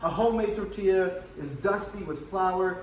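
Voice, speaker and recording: A man's high-pitched voice with an American accent at a fairly slow pace, amid noticeable background noise and audible room echo. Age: 30s. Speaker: student. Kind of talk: class self-introduction video. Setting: filmed by his wife.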